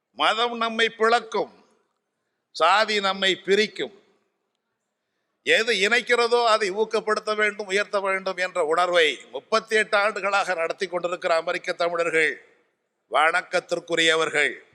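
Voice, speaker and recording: A man speaks in a raised, projected voice that is high for a man, bright and sharp in tone. His intonation stays fairly even. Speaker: Tamil scholar and orator. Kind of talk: convention speech. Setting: stage with audience. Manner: formal.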